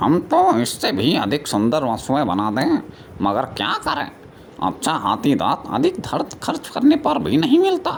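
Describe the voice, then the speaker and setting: A cartoonish character voice from a man comes at a moderate pace over clear background noise. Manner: worldly, doubtful.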